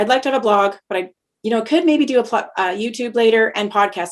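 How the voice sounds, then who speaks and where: The delivery is very fast, with lively intonation. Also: woman. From Canada (Lethbridge, Alberta). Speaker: podcast host. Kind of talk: casual conversation. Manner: fast when excited; hesitant, many fillers.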